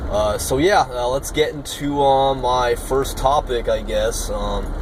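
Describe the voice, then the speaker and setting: Fairly slow speech from a man amid audible room echo and noticeable background noise. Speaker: YouTuber practicing public speaking. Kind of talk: impromptu speech. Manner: low energy; halting, many filler words.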